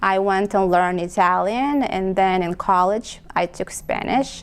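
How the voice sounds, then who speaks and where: A woman with a Romanian accent talks at a fairly slow pace, her medium pitch moving with ordinary variation. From Moldova. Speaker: adult foster care program representative. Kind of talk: interview. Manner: halting, many fillers.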